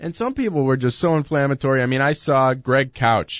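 In a normal speaking voice, a man at medium pitch speaks at a fairly quick pace with lively intonation. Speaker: co-host sports talk. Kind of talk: casual sports talk radio.

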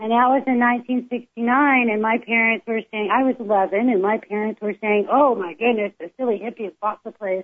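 In an American accent, a woman with an unremarkable speaking voice talks at a moderate pace, fairly high in pitch with ordinary pitch variation. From California. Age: 50s. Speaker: plant-based cooking advocate. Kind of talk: casual chat.

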